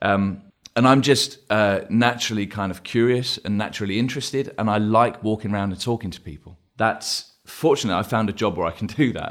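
A man with an English accent talks in a fairly low voice, his loudness swinging widely and hardly any pauses breaking his speech. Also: ordinary pitch variation, fairly quick pace, very clean recording, silent background. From England. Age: 40s. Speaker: advertising creative director. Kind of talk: podcast interview.

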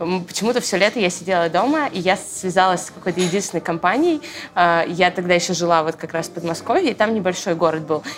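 Over noticeable background noise, a woman speaks very fast in a fairly low pitch with ordinary pitch variation. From Moscow region, Russia. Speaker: church media team leader. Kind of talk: casual chat. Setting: coffee shop.

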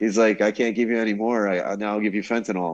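A man with a New Jersey accent talks at a fairly quick pace. His pitch is fairly low, and the background is quiet. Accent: New Jersey American. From New Jersey, US. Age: 40s. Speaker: scientific glassblower. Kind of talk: storytelling in casual chat. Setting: remote call from Brazil.

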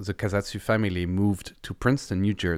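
A man speaks with a French accent at a fairly low pitch. The recording is very clean, with a silent background. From France. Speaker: violist. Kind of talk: interview.

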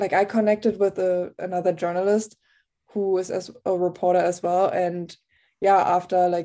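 Speaking at a moderate pace over a quiet background, a woman with a German accent keeps her medium pitch in a monotone, flat intonation. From Germany. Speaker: TV reporter. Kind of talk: interview.

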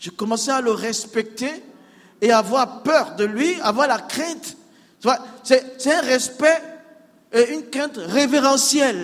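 The speech moves at a very slow pace with long, frequent pauses. Noticeable background noise sits behind it. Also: man, extremely high pitch for a man, ordinary pitch variation. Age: 60s. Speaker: pastor, former imam. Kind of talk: testimony. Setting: church with congregation.

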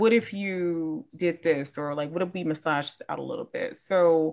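This is a normal speaking voice with an American accent and ordinary pitch variation, set against a quiet background. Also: woman. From Chicago, US Midwest. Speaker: comic book writer. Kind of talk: casual interview.

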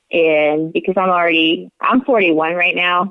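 With a normal speaking voice, a woman talks at a fairly slow pace, her fairly low pitch showing ordinary variation. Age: 40s. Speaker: multiple sclerosis patient. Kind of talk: interview. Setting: phone call.

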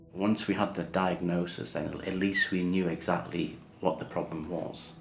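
A man's very deep, low voice in monotone, flat intonation, with noticeable background noise. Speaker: partner and carer. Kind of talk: casual interview. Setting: at home.

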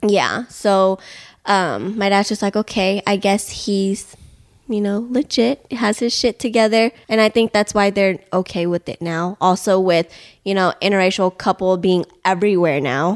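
A woman with an American accent talks at a fairly slow pace in a plain, everyday voice, with medium pitch and ordinary pitch variation. The sound is dry and close with no echo, over a quiet background. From Houston, Texas. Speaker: powerlifter and fitness coach. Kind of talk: casual interview. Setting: in host's house.

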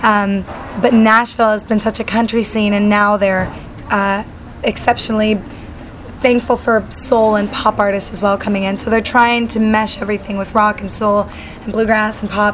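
Noticeable background noise accompanies a speaker with an American accent who uses monotone, flat intonation at a moderate pace. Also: woman, fairly high pitch for a woman. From Utah, then Southern California. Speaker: singer-songwriter. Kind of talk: casual interview. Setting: backstage at a music event. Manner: hesitant fillers, many ums.

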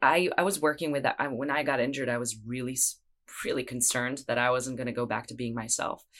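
A woman's very deep, low pitch, with fairly even intonation at a fairly quick pace. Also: very clean recording, silent background. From Israel. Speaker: vocalist, sound therapist, breathwork facilitator and yoga teacher. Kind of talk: casual chat.

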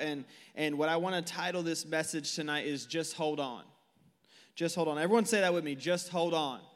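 A man with an American accent speaks at a moderate pace with a fairly high pitch. Room echo is audible. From Northern California (Tracy). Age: 20s. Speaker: youth pastor. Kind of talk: sermon. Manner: animated.

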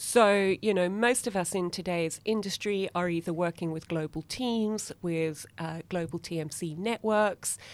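An ordinary speaking voice moves at a fairly slow pace with hardly any pauses and ordinary pitch variation, on a very clean recording with a silent background. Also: woman, medium pitch for a woman. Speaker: consultant and trainer. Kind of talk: interview, professional conversation.

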